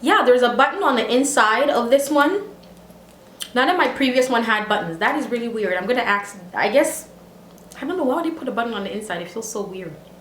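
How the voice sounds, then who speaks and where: In a room with audible echo and noticeable background noise, a woman talks at a fairly quick pace and a fairly high pitch, with very wide pitch swings, big swings in loudness and long, frequent pauses. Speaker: beauty and lifestyle vlogger. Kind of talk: casual vlog tutorial. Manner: animated.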